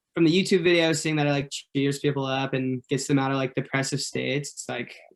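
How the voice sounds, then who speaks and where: A man speaks with a Californian accent. His pitch is fairly high. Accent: Californian American. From Orange County, California. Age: 20s. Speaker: pop singer. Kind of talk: radio interview. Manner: casual, lots of fillers.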